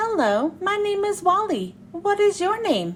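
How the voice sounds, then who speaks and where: Using a squeaky, extremely high put-on character voice, a woman speaks at a fairly slow pace over clear background noise. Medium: read story.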